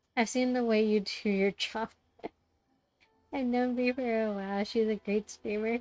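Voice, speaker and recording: A quiet woman talks at a moderate pace, fairly high in pitch, with a monotone, flat delivery broken by long, frequent pauses. Music plays in the background, and the sound is dry and close with no echo. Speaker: game streamer. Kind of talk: casual live-stream chat.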